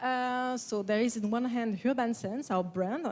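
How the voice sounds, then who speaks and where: A woman with a strong French accent, fairly high pitch, ordinary pitch variation and moderate pace, on a very clean recording with a silent background. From France. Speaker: perfumer. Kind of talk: conference talk. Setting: stage with audience. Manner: hesitant, many fillers.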